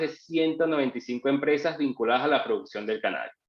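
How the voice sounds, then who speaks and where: This man talks at a very fast pace. His fairly high voice shows ordinary pitch variation. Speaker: lawyer. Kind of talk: webinar presentation.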